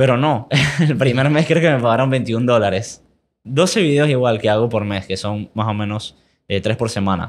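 This is a man with a normal speaking voice. He keeps a medium pitch and a moderate pace. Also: ordinary pitch variation, very clean recording, silent background. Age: 20s. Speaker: investing educator and entrepreneur. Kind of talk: interview.

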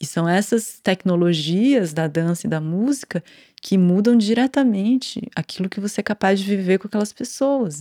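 A woman with a São Paulo accent and ordinary pitch variation, on a very clean recording with a silent background. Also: dry, close sound with no echo. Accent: Brazilian Portuguese, São Paulo (paulistano). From Brazil, São Paulo city. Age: 40s. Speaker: dancer and choreographer. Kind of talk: casual interview chat.

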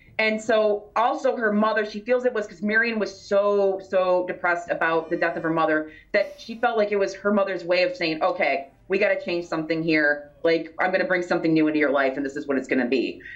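Over noticeable background noise, a woman with an American accent speaks at a fairly quick pace with hardly any pauses, a medium pitch and ordinary pitch variation. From Michigan. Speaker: author and paranormal researcher, library worker. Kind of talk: interview, conversational storytelling. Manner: articulate, engaging speaker.

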